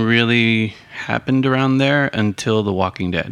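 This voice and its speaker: A man with a normal speaking voice talks at a fairly slow pace, with medium pitch and fairly even intonation. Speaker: podcast host. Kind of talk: casual chat.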